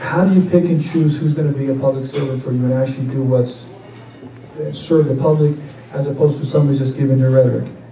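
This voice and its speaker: With an American accent and a fairly high pitch, a man speaks at a very fast pace with fairly even intonation. Music plays in the background amid audible room echo. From Nevada. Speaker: political candidate. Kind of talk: campaign town hall Q&A. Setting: public meeting with audience, microphone.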